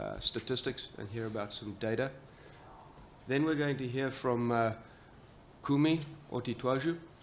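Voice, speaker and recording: With an American accent, a man talks at a moderate pace and medium pitch. His pitch variation is ordinary, and he leaves long, frequent pauses. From Southern Africa. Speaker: panel moderator. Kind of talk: panel moderation.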